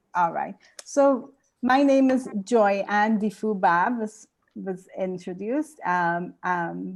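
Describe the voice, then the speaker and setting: A woman talks at a very slow pace. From Trinidad and Tobago. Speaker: educational consultant and lecturer. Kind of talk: conference talk.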